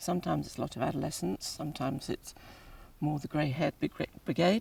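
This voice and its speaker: Woman with an English accent at a moderate pace, recorded with a dry, close sound and no echo. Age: 60s. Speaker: pilgrim and family carer. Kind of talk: interview.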